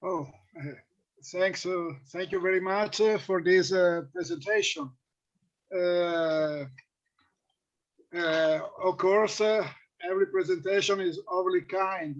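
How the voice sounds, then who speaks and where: A man with a non-native accent speaks at a very slow pace, his pitch high. His intonation stays fairly even, broken by long, frequent pauses. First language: Italian. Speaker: philologist and panel chair. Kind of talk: chairing an academic panel. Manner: hesitant, many fillers.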